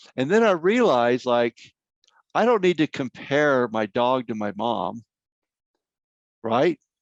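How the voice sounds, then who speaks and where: A man with an American accent talks at a medium pitch with lively intonation, in a dry, close recording with no echo and a quiet background. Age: 60s. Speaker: grief counselor, workshop speaker. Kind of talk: workshop Q&A answers. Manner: conversational.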